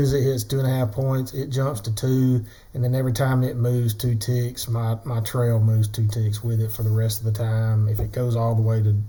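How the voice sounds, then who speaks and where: Speaking at a moderate pace with a Southern US accent, the voice runs on with hardly any pauses. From US South. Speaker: day trader, trading tutorial creator. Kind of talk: tutorial. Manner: casual, conversational.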